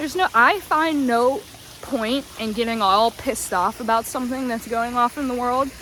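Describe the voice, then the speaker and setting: Her pitch is fairly high, with ordinary variation, and this woman has an animated tone. She keeps a moderate pace against noticeable background noise. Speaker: vlogger. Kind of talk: casual vlog monologue. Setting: outdoors on a walk.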